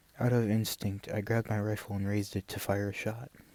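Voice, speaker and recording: Soft-spoken, this man talks in a fairly low pitch at a moderate pace, with monotone, flat intonation. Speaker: ASMR content creator. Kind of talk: story reading, first-person western narration.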